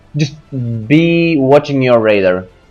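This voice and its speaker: With music playing behind him, a man's pitch swings very widely. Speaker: gamer giving a game guide. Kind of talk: game tutorial commentary. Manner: hesitant, many fillers.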